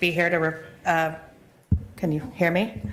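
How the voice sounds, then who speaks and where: There is audible room echo and noticeable background noise as a woman speaks with a fairly low pitch. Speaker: attorney, audit committee member. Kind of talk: committee report at public meeting. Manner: loud.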